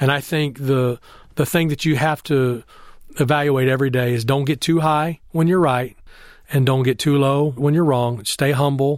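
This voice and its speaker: With a Texan accent, a man speaks at a fairly high pitch with fairly even intonation and very even loudness on a very clean recording with a silent background. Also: moderate pace. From Texas (Temple). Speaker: baseball scout executive. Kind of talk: interview. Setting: in person, Austin, Texas.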